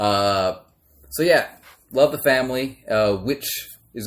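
In an ordinary speaking voice, a man with an American accent talks at a fairly slow pace and fairly low pitch with lively intonation. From Maryland, US. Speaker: podcast host. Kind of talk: casual chat.

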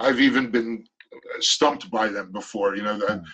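In a normal speaking voice, the speaker talks at a moderate pace with ordinary pitch variation. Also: man. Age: 50s. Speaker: shamanic healer. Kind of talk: interview.

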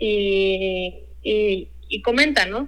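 A woman speaks in a bright, sharp tone. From Mexico, Guadalajara, Jalisco. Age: 20s. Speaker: chef. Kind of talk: interview.

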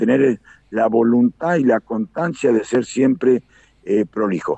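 Speaking with an Argentine accent, a man talks. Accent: Rioplatense Argentine Spanish. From Argentina, Buenos Aires province (Carlos Casares). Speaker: aerobatic pilot. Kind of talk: live radio interview. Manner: halting, with many fillers and repetitions.

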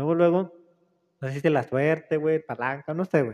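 With a dry, close sound and no echo, a man of fairly high pitch talks at a moderate pace with ordinary pitch variation. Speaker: podcast host. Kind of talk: casual chat. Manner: relaxing.

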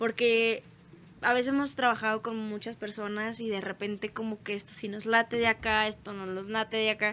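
A fairly high-pitched woman at a fairly quick pace, bright and sharp in tone, monotone and flat in intonation, with big swings in loudness. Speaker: band musician. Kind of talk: casual chat.

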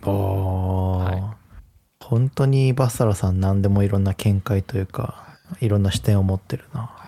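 Dark and mellow in tone, the voice is somewhat breathy with ordinary pitch variation. It moves at a moderate pace in a dry, close sound with no echo. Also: man, fairly low pitch for a man. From Japan, Hiroshima. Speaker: podcast co-host. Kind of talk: casual chat.

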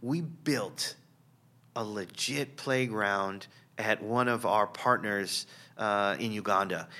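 A man with an American accent and a bright, sharp tone speaks at a very slow pace in a very clean recording with a silent background. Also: fairly low pitch for a man, ordinary pitch variation. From San Diego, California. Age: 50s. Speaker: pastor. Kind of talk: testimony.

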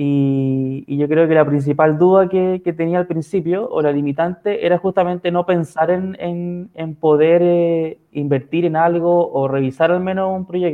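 A man's high voice with a Chilean accent, fairly even intonation, a fairly slow pace and hardly any pauses. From San Felipe, Chile. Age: 20s. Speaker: physiotherapist guest. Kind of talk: live stream interview. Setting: video call live stream.

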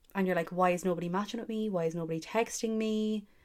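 A woman with an Irish accent, medium in pitch and animated in tone. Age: 20s. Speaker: podcast host. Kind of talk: casual solo chat.

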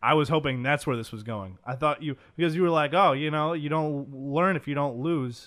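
This man talks in a normal speaking voice, moderately paced and fairly high in pitch, with ordinary pitch variation. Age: 20s. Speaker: podcast co-host, sports media worker. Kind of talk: casual chat.

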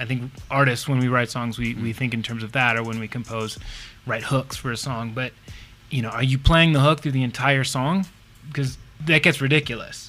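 Music plays in the background as a man with an American accent speaks at a fairly quick pace and a medium pitch. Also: fairly even intonation. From United States. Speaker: musician. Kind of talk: casual chat.

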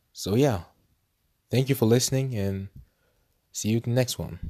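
A man speaks at a moderate pace with ordinary pitch variation, a medium pitch and a dark, mellow tone, pausing long and often. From Norway. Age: 20s. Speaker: podcast host. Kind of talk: casual monologue. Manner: halting.

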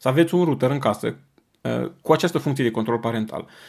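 Lively intonation from a man with fairly high pitch. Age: 40s. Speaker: parenting podcast host. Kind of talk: monologue talk.

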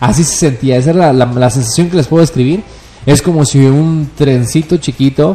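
Against noticeable background noise, a man with a Mexican accent talks at a very fast pace with ordinary pitch variation. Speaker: cannabis user guest. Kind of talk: casual chat. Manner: animated.

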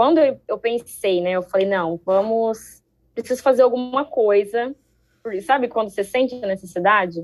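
A woman with a fairly high pitch and ordinary pitch variation speaks in an unremarkable speaking voice. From Brazil, Ribeirão Preto (São Paulo state). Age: 20s. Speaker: street dancer and dance teacher. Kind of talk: casual chat.

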